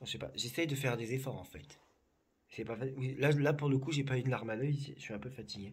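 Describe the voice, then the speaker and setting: Vocal fry runs through this voice, which has fairly even intonation and big swings in loudness, with audible room echo. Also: man, medium pitch for a man. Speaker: psychic. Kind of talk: casual chat. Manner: slow; calm.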